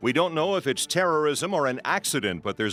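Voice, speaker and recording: A man at a very fast pace with very wide pitch swings, dry, close sound with no echo, and music in the background. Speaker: radio news anchor. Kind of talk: radio news read.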